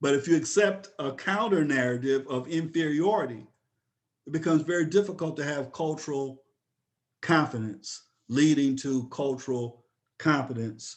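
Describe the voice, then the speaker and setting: Speaking in a normal speaking voice with an American accent, a man talks at a moderate pace with a fairly high pitch and ordinary pitch variation. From upstate New York. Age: 60s. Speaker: professor. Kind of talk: webinar lecture.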